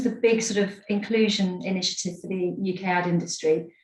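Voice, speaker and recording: Talking at a fairly quick pace, the speaker is heard through noticeable background noise and audible room echo. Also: woman. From Scotland, Edinburgh. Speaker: advertising industry executive. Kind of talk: webinar talk.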